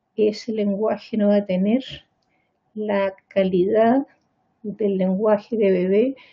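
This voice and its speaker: A woman speaks in a somewhat breathy voice with fairly even intonation. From Chile. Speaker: pediatrician and psychiatrist. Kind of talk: lecture. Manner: halting, with frequent repetitions.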